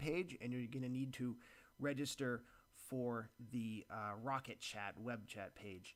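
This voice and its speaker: A man talks at a medium pitch, with ordinary pitch variation. The recording is very clean, and the background is silent. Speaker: website developer giving a tutorial. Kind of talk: screen-recorded software tutorial. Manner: hesitant, many fillers and repetitions.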